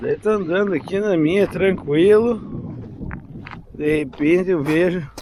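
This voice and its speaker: Amid noticeable background noise, a man talks in a high pitch with lively intonation. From Passo Fundo, Rio Grande do Sul, Brazil. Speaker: videomaker and filmmaker. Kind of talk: casual talk to camera, vlog reflection. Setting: outdoors.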